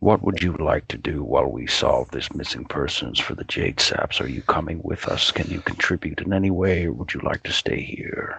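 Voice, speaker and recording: A man puts on a character voice at a very deep, low pitch. He keeps a moderate pace with hardly any pauses. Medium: actual play. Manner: measured, formal, guarded.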